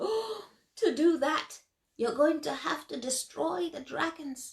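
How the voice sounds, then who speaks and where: At a fairly slow pace, someone performs in a put-on character voice. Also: woman, high pitch for a woman. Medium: read story. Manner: shuffling, cautious.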